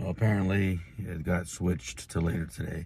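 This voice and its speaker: Speaking at a moderate pace, a man has a very deep, low pitch, a somewhat breathy quality, and a dark, mellow tone. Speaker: wrestling vlogger. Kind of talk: casual vlog chat. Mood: relaxed, mildly amused. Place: car. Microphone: phone near.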